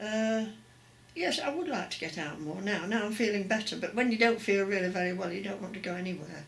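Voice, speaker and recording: Fairly quick speech from a woman, set against noticeable background noise. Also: medium pitch for a woman, ordinary pitch variation. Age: 80s+. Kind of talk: interview answer.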